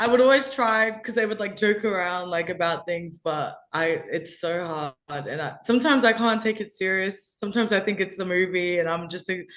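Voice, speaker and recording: Here a woman speaks with an Australian accent at a moderate pace. The background is quiet. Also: medium pitch for a woman, ordinary pitch variation. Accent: Australian, taken for British by teammates. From Australia, Perth. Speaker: college basketball player. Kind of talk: interview. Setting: video call.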